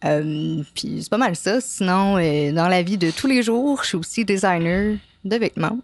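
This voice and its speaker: A woman's voice sits at a medium pitch. She talks fairly slowly, with lively intonation. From Quebec, Montreal. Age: 30s. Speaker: apprentice tattoo artist. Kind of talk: interview. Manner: hesitant, many fillers.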